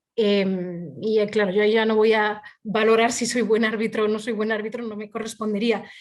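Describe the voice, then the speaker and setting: A woman speaks with fairly high pitch and monotone, flat intonation at a moderate pace, with hardly any pauses. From Spain. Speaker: arbitrator. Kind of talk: interview.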